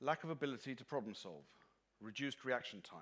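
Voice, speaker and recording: This man speaks fairly quickly with lively intonation and some vocal fry. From London, England. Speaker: marine insurance claims expert. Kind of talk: conference presentation. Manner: fast.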